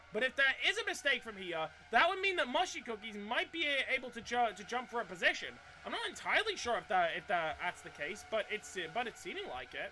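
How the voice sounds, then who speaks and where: Noticeable background noise sits under speech delivered very rapidly. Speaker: sim racing commentator. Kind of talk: live commentary. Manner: halting, frequent stutters and restarts.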